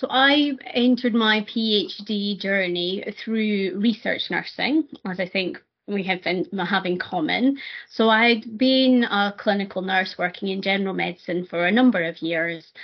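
A woman with a Scottish accent speaks fairly slowly at a medium pitch. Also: ordinary pitch variation. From Scotland. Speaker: nurse and PhD student. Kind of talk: interview conversation.

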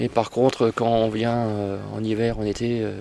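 In a flat monotone, a man's voice sits at a medium pitch. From northern Vosges, France. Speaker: amateur wildlife photographer. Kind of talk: casual chat. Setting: outdoors. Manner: halting.

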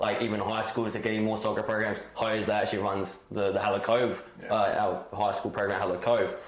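A man's fairly low, monotone voice with flat intonation at a fairly quick pace, over noticeable background noise. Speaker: football academy co-host. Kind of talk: casual chat. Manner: mumbling.

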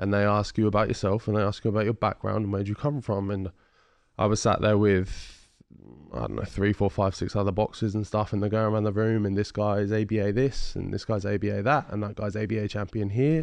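A man with a southern English accent talks at a very fast pace in a fairly low pitch, his intonation fairly even, against a quiet background. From England, Ipswich (Suffolk). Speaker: heavyweight boxer. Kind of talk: casual interview. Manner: articulate, well-spoken.

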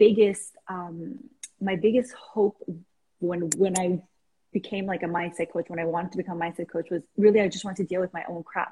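Medium in pitch and somewhat breathy, a woman's voice has a dark, mellow tone and fairly even intonation. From Iran, raised in Canada. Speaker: life coach. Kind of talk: casual interview. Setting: video call.

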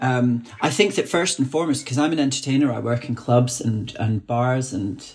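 In a Scottish accent, a man talks at a moderate pace with a medium pitch, ordinary pitch variation, and a somewhat breathy quality. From Scotland. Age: 30s. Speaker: drag queen podcast host. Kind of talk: interview conversation.

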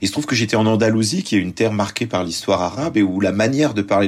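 Speaking at a very fast pace, a man talks with a fairly low pitch. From France, arrived from Lebanon at 4. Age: 30s. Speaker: journalist and author. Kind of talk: interview.

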